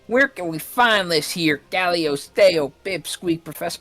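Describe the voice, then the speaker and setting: At a moderate pace, someone speaks in a put-on character voice with a middle pitch. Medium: game stream.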